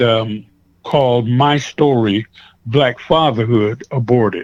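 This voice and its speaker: A man with an American accent speaks in an ordinary speaking voice at a medium pitch, his intonation fairly even and the sound dry and close with no echo. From US West Coast (Seaside, California). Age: 60s. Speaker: pastor. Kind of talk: interview.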